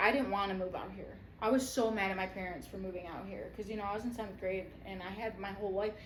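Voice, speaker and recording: Very fast speech with an American accent and audible room echo. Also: woman. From Michigan, Detroit area. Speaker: podcast co-host. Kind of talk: casual chat.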